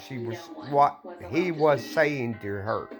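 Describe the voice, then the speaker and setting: With music behind him, a man talks in a mid-range pitch that rises and falls in a normal way. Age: 60s. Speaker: vlogger. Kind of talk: casual monologue. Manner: halting.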